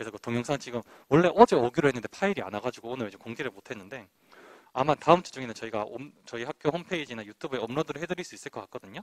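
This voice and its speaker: Very fast and with very wide pitch swings, a man talks in a dry, close sound with no echo. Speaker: university admissions officer. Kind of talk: admissions presentation. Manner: slurred articulation.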